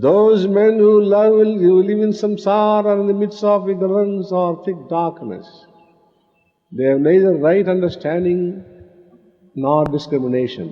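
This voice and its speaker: A high-pitched man talks in an Indian accent at a fairly slow pace. His pitch varies in an ordinary way. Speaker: spiritual teacher. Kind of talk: spiritual discourse.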